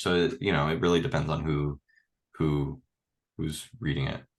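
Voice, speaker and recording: Using ordinary pitch variation, a man with a very deep, low pitch talks at a moderate pace. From Miami suburbs. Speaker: filmmaker, former resident. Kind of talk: casual chat. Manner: animated.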